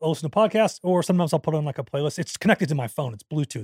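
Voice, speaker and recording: In a very clean recording with a silent background and a dry, close sound with no echo, a man talks at a very fast pace in a somewhat breathy voice. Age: 40s. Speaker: podcast co-host. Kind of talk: casual chat.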